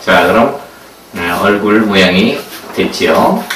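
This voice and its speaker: A man's voice is heard. Background noise is noticeable throughout. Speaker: balloon art instructor. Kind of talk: tutorial. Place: home room.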